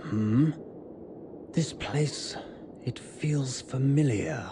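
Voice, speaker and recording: Over clear background noise, a man puts on a character voice and speaks at a very slow pace. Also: medium pitch for a man. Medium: video game.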